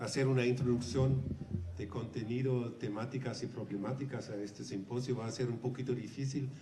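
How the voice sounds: Speaking at a fairly quick pace, a man with a hoarse voice at medium pitch keeps his intonation fairly even, with audible room echo around him.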